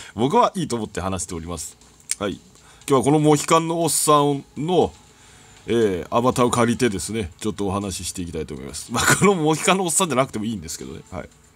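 A man whose pitch swings very widely and whose loudness rises and falls sharply. He talks at a very fast pace over noticeable background noise. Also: medium pitch for a man. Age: 40s. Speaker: gaming YouTuber. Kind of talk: casual monologue over gameplay. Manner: chatty with frequent laughs.

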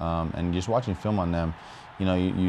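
A man speaks in a very deep, low voice with monotone, flat intonation. Light background noise sits underneath. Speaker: professional football player. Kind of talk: interview. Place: studio. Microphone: lapel.

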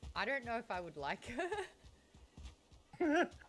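A woman's voice at a fairly slow pace, with very wide pitch swings and faint music in the background. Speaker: streamer. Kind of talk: casual game stream chat. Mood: relaxed, joking. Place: home room.

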